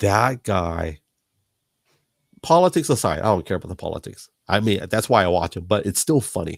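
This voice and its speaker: A man speaks with a fairly low pitch and long, frequent pauses. The recording is very clean and dry, with a silent background, a close sound and no echo. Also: moderate pace. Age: 40s. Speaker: podcast host. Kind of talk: casual chat. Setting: live podcast. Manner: halting, repeats words.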